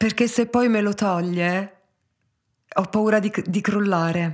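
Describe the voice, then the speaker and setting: Extremely slow speech from a woman at a medium pitch, its intonation fairly level. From Tuscany, Pisa. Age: 40s. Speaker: hairdresser. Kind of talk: interview.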